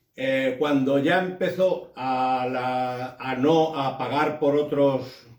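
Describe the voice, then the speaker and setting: Amid noticeable background noise and audible room echo, a man speaks at a medium pitch with fairly even intonation. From Andalusia, Huelva province (Gibraleón). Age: 60s. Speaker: trade union activist. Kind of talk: oral history interview. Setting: at his home. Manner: halting.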